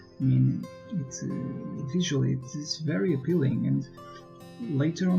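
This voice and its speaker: With music playing in the background, a man speaks at a fairly slow pace in a medium pitch. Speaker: gaming YouTuber. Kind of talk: gameplay commentary.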